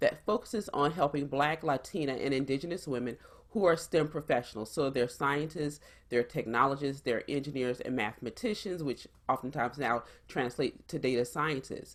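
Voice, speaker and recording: With a South Carolina accent, a woman speaks at a moderate pace in a very deep, low pitch. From US South, South Carolina. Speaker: startup founder and engineer. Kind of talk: presentation.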